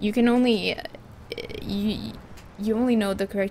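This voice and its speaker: This woman speaks with a Finland Swedish accent. Noticeable background noise runs through the clip. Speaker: gaming streamer. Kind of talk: casual live-stream chat. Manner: halting, many fillers and restarts.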